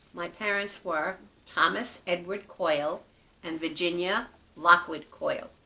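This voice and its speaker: A woman with an American accent speaks fairly slowly at a fairly low pitch, with fairly even intonation. Her loudness swings widely, and there is noticeable background noise. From New York City (Brooklyn). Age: 70s. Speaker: grandmother. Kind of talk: interview; reading aloud.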